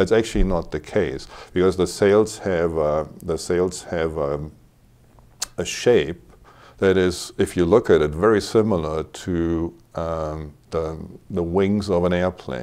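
A man with a German accent, very deep and low in pitch, dark and mellow in tone, at a fairly slow pace with ordinary pitch variation. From Germany, Cologne; Germany. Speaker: hobby sailor; interview guest. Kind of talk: casual interview. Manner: halting, many repetitions. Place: studio. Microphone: lapel.

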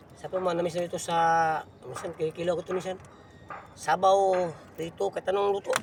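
Noticeable background noise sits behind a man speaking at a fairly quick pace. His pitch is high, and his intonation is monotone and flat. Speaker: fishing vlogger. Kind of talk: casual vlog narration.

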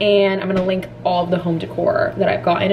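A woman talks at a very fast pace, with light background noise behind her. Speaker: lifestyle vlogger. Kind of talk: casual vlog chat. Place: home room. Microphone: phone near.

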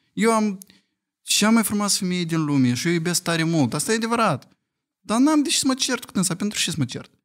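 Against a quiet background, a man talks at a fairly quick pace. His high pitch swings very widely. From Moldova. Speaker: podcast guest with partner; podcast guest. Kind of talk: casual chat. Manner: animated. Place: studio. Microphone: studio mic.

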